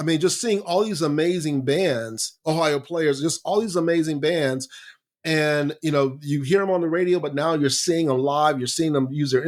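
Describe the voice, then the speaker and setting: A man talks in a plain, everyday voice at a moderate pace with ordinary pitch variation. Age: 60s. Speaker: growth strategy coach. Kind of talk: podcast interview. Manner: conversational, some false starts.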